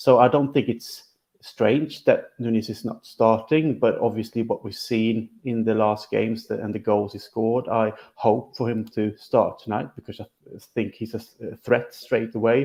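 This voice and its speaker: A man with a Swedish accent speaks at a moderate pace in a medium pitch, his dark, mellow tone carrying fairly even intonation while his loudness swings widely. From Sweden. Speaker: football podcast co-host. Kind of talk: casual chat.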